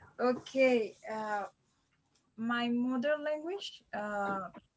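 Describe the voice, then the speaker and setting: A woman speaks with a Colombian accent. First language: Spanish. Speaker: language learner. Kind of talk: mock exam interview. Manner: halting.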